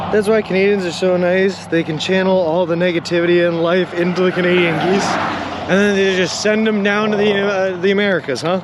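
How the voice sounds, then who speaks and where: Noticeable background noise sits behind a man with a high voice, talking at a fairly quick pace with hardly any pauses. His loudness is very even and his intonation monotone and flat. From Boston area, Massachusetts (Lowell). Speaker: long-distance walker and live streamer. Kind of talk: live stream chat reading while walking. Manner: fast; casual, joking.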